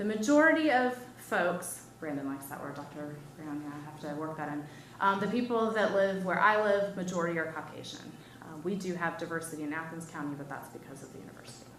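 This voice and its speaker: A woman with an American accent, fairly low-pitched, very fast, with ordinary pitch variation, big swings in loudness, audible room echo and noticeable background noise. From Wisconsin. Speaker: professor. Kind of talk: lecture. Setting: seminar with audience. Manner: casual, conversational with fillers.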